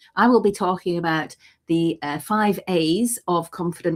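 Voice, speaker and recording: On a very clean recording with a silent background, a woman speaks in a normal speaking voice, fairly low in pitch with ordinary pitch variation. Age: 60s. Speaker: writer and gathering presenter. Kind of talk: casual chat.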